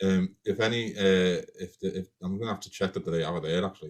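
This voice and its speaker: A man's very deep, low voice with a Liverpool accent and big swings in loudness. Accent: Liverpool (Scouse). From Liverpool, England. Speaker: crime writer, podcast co-host. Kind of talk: live-streamed casual chat, Q&A. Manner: animated.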